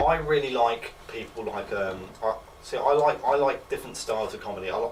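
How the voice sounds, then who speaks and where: There is noticeable background noise. A man with an English accent speaks at a fairly high pitch. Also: ordinary pitch variation. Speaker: student comedian. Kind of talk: interview. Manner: halting.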